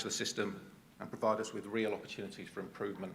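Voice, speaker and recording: A man with a southern English accent talks at a very fast pace. Room echo is audible. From England (Cambridge). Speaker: transport agency manager. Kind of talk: conference presentation. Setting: stage with audience.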